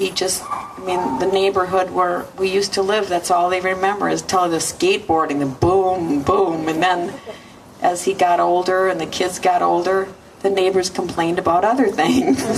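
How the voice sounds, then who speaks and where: With noticeable background noise behind her, a woman speaks at a moderate pace in fairly even intonation. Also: medium pitch for a woman. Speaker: mother of the deceased. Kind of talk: memorial eulogy. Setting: memorial service. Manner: halting.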